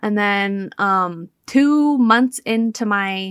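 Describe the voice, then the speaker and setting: The recording is very clean, with a silent background and a dry, close sound with no echo. A woman with a normal speaking voice talks at a medium pitch with ordinary pitch variation. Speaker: cancer survivor and social media creator. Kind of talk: interview.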